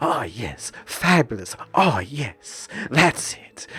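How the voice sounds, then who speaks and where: In a raspy, put-on character voice, a man with a fairly high pitch speaks very slowly while his pitch swings very widely. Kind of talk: affected, theatrical. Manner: preening, exaggerated.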